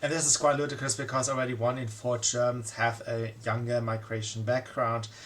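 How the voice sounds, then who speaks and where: At a fairly quick pace with hardly any pauses, a man speaks at a medium pitch in a monotone, flat intonation over noticeable background noise. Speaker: political commentator. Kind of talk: monologue commentary. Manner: halting, many fillers.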